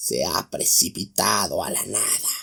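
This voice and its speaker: A man uses a put-on character voice at a fairly slow pace. It is growling, hoarse and raspy. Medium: read story. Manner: gruff, bitter.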